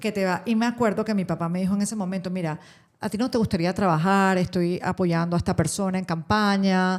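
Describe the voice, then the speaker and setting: Over a silent background in a very clean recording, a woman speaks at a fairly quick pace with medium pitch and fairly even intonation. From Panama. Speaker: radio host and social communicator. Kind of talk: interview answer.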